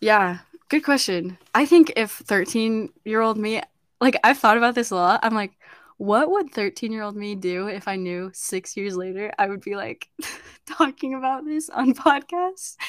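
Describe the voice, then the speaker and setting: On a very clean recording with a silent background, a woman with a plain, everyday voice speaks at a fairly slow pace and a fairly high pitch, with lively intonation and big swings in loudness. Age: young. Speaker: podcast host and university student. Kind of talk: casual chat.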